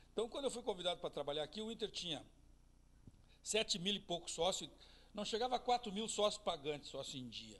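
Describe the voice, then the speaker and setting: Pitched high, a man speaks at a fairly quick pace with lively intonation. Long, frequent pauses break up his speech. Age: 60s. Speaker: football club director. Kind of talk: interview. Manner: passionate, stirring.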